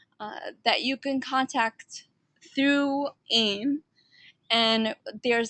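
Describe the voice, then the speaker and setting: In an American accent, a woman speaks with a bright, sharp tone and fairly even intonation, the sound dry and close with no echo. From New York. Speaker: online instructor. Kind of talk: online class orientation talk. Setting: live online session. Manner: laid back.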